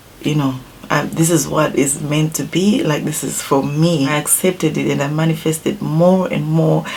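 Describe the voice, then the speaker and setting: A woman with a Zimbabwean accent talks at a fairly slow pace over light background noise. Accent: Zimbabwean, non-native English. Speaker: beauty YouTuber. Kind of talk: casual vlog talk to viewers; casual vlog chat.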